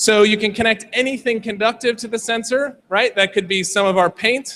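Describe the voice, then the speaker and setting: A man with an American accent uses a raised, projected voice at a high pitch, his bright, sharp tone and fairly even intonation set at a moderate pace in a dry, close sound with no echo. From United States. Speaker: tech company representative presenting at a hackathon. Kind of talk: product demo talk.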